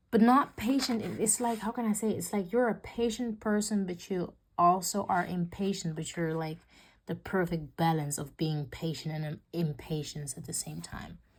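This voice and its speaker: A woman speaks with a non-native accent at a moderate pace, her voice somewhat breathy. Her intonation is lively. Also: very clean recording, silent background. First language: not English. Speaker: tarot reader. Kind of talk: tarot reading. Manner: halting.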